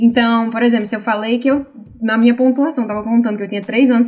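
Fairly high-pitched, a woman talks at a very fast pace with ordinary pitch variation over noticeable background noise. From Brazil, Natal, Rio Grande do Norte. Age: 20s. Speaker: Brazilian immigrant, logistics manager. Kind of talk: casual podcast interview.

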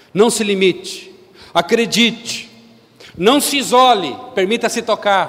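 Noticeable background noise sits behind the recording. A man talks over it at a fairly slow pace. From Brazil, São Paulo. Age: 50s. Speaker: lay preacher. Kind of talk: sermon. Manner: animated.

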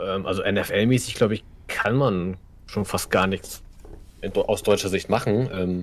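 Very slowly and with long, frequent pauses, a man speaks in a fairly low pitch with fairly even intonation. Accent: northern German. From northern Germany, Kiel. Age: 30s. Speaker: streamer. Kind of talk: casual chat.

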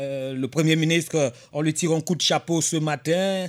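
The voice belongs to a man. Pitch moves in an ordinary way. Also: very clean recording, silent background. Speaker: radio host. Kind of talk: radio talk show monologue.

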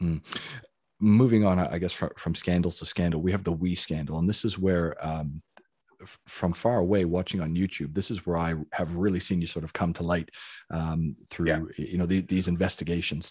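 In a very clean recording with a silent background, a man with a western Canadian accent speaks at a moderate pace in a very deep, low pitch, with a dark, mellow tone and fairly even intonation. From Calgary, Canada. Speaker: podcast host. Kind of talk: interview. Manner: halting.

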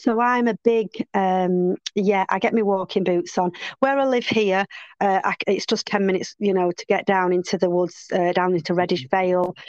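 A woman's ordinary speaking voice at a medium pitch and moderate pace, with fairly even intonation, very even loudness, a quiet background and a dry, close sound with no echo. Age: 50s. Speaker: fitness and yoga instructor. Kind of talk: casual chat.

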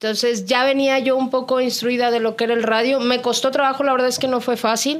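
A woman with a Mexican accent talks very fast in a high pitch, monotone and flat, at a very even loudness with hardly any pauses. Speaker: radio announcer. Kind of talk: casual chat.

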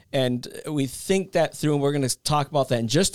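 A man speaks with ordinary pitch variation. The recording is very clean and silent in the background, with a dry, close sound and no echo. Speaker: podcast host. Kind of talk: casual chat. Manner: animated.

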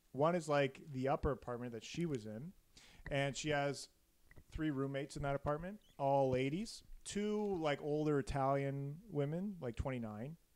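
Here a man talks at a moderate pace with a fairly high pitch and ordinary pitch variation. He has a plain, everyday voice. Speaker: podcast host telling a murder story. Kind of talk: casual comedic storytelling chat. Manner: joking, playful.

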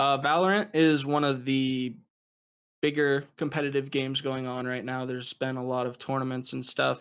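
A normal speaking voice with an American accent and fairly even intonation keeps a moderate pace. The recording is very clean, with a silent background. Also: man, medium pitch for a man. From United States. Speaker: GIS analyst and streamer, podcast co-host. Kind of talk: casual chat.

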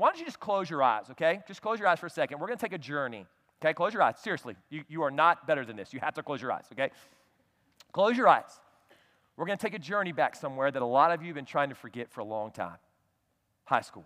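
Animated and very fast, a man with a fairly high voice swings widely in pitch and loudness, leaving long, frequent pauses, in a very clean, dry, close recording with a silent background and no echo. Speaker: pastor. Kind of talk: sermon; pep talk. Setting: church with live audience. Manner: animated, punchy, shouting and teasing the congregation.

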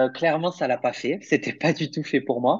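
The background is quiet as a man speaks with a slight southern French accent. His pitch is fairly high, with ordinary variation. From southern France, Perpignan. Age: 30s. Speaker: primary school teacher. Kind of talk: casual interview.

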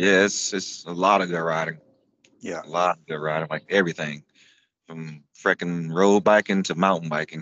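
A man with an American accent and a very deep, low pitch, a bright, sharp tone, monotone, flat intonation and a moderate pace, in a dry, close recording with no echo. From US South, Florida (Tampa area). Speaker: amputee cyclist and racer. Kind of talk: casual interview chat.

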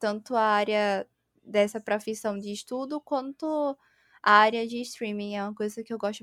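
In a dry, close sound with no echo, a woman with an unremarkable speaking voice talks at a fairly high pitch and a fairly slow pace, her intonation fairly even. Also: very clean recording, silent background. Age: 20s. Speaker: streamer and interior designer. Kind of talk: casual chat.

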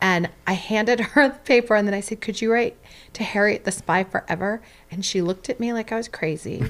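A woman with a plain, everyday voice talks at a fairly quick pace, with ordinary pitch variation. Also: fairly high pitch for a woman. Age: 40s. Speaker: playwright. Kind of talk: casual chat.

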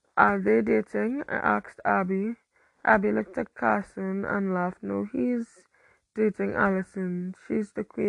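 The voice is a natural reading voice. The background is quiet.

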